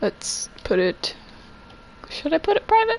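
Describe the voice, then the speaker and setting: A woman speaks loudly in an animated tone over noticeable background noise. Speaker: video game streamer. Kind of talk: live gameplay streaming. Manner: casual, animated.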